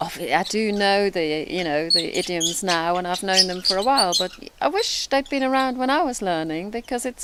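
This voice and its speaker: A woman of medium pitch talks at a moderate pace. Her pitch variation is ordinary, and background noise is noticeable. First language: not English. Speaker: guest on English lesson show. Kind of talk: casual chat.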